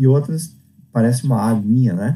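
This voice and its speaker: A man with a medium pitch talks in a somewhat breathy voice with a dark, mellow tone and ordinary pitch variation. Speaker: teacher. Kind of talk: lecture.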